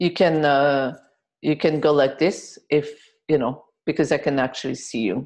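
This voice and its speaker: A woman's very deep, low voice in a French accent, at a fairly slow pace. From France. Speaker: healer and workshop leader. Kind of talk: group healing webinar. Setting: video webinar. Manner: occasional involuntary jolts and exclamations.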